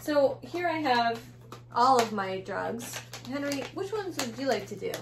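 A woman speaks at a fairly slow pace. Her fairly high pitch makes big swings.

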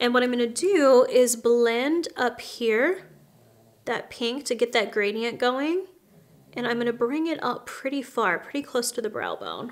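Ordinary pitch variation and a fairly slow pace in a woman's high voice. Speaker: makeup artist host. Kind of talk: tutorial. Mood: warm, friendly. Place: home room.

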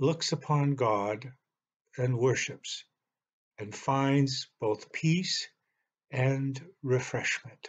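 Against a quiet background, a man speaks very slowly in a somewhat breathy voice with ordinary pitch variation and long, frequent pauses. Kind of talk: sermon. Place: home room. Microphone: webcam.

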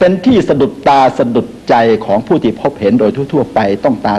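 Noticeable background noise behind a man's lively intonation. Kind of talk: product commercial pitch, medicine advertisement narration. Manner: polite, chatty salesman address to audience.

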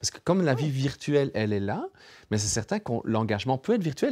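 Over a quiet background, the voice carries lively intonation. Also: man. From Europe near Germany. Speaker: co-host, neuroscientist; co-host. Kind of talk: panel discussion. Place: studio.

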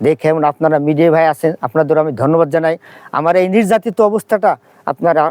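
The sound is dry and close, with no echo. A man speaks at a fairly high pitch with ordinary pitch variation. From Bangladesh, Faridpur. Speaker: primary school head teacher. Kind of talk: complaint statement to press. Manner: halting.

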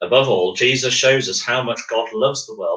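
Someone is reading aloud in a natural voice.

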